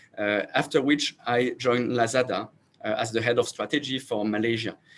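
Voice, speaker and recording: With a French accent, a man speaks at a medium pitch and moderate pace. His pitch variation is ordinary. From France. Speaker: startup founder and CEO. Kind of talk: panel self-introduction. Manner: halting, many fillers and repeats.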